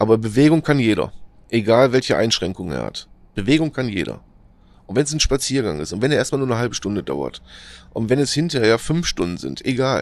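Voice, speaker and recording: Talking at a fairly quick pace, a man uses lively intonation with vocal fry. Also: medium pitch for a man. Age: 40s. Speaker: podcaster sharing experience with depression. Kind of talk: motivational monologue. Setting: outdoors in nature. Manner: halting, many fillers.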